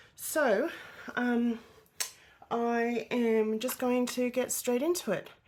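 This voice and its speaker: Over noticeable background noise, the speech moves at a very slow pace with long, frequent pauses. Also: woman, high pitch for a woman. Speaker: adult colouring YouTuber. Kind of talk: casual vlog talk. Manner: hesitant with fillers.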